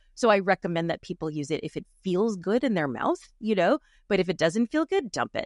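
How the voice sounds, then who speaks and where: Set against a quiet background with a dry, close sound and no echo, a woman's fairly low voice shows vocal fry and very wide pitch swings. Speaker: linguistic anthropologist. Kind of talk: interview conversation.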